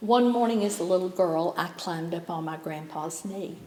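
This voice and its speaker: With audible room echo, a woman talks at a moderate pace in a Southern Appalachian accent, her pitch varying in an ordinary way. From East Tennessee, Sevier County. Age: 70s. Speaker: poet. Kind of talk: poetry reading.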